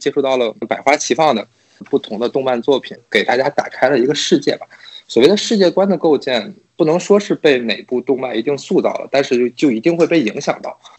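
A man with a plain, everyday voice speaks at a fairly high pitch. His pace is fairly quick, with ordinary pitch variation. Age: 30s. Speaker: podcast guest. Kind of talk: casual chat.

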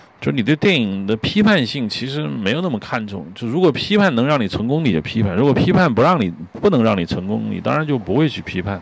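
Over noticeable background noise, a man at medium pitch talks at a very fast pace with very wide pitch swings and hardly any pauses. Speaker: podcast host, screenwriter-director. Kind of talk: solo film commentary monologue. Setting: outdoors on home balcony. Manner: hesitant, filler-heavy.

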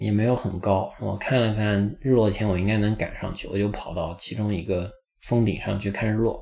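A man talks in a normal speaking voice, fairly low in pitch. His pace is moderate and his intonation fairly even. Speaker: podcast host. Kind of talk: travel audio diary monologue.

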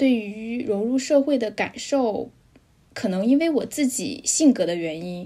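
A woman's dark, mellow tone with lively intonation at a fairly slow pace. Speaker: Chinese expat in Europe. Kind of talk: casual chat.

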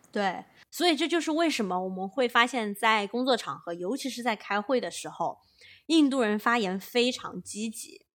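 Here is a woman with an unremarkable speaking voice, fairly high in pitch and lively in intonation. She keeps a moderate pace on a very clean recording with a silent background. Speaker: podcast co-host, management consultant. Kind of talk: casual chat.

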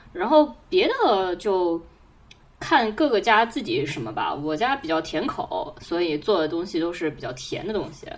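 A woman's medium-pitched voice at a fairly slow pace, with very wide pitch swings, big swings in loudness and noticeable background noise. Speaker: podcast co-host. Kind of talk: casual chat.

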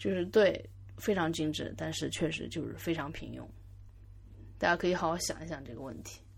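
Here a woman with a very deep, low pitch and vocal fry talks at a fairly quick pace, leaving long, frequent pauses. Her pitch swings very widely, her loudness shifts greatly, and audible room echo surrounds her. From Yangzhou, Jiangsu, China. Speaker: podcast host. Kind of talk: solo podcast monologue. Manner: halting, many fillers and repeats.

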